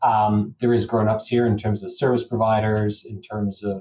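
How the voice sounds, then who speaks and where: A man with a Canadian accent speaks at a moderate pace in a fairly low, somewhat breathy voice with a dark, mellow tone and fairly even intonation. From Canada. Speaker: lawyer. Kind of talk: interview.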